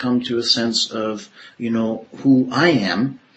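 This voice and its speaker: A male voice comes through with noticeable noise in the background. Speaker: podcast host interviewer. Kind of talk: interview conversation.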